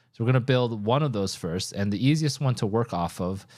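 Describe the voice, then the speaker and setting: A man speaks at a fairly quick pace with ordinary pitch variation in an unremarkable speaking voice. The recording is very clean, with a silent background. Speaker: CAD tutorial creator. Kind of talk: tutorial.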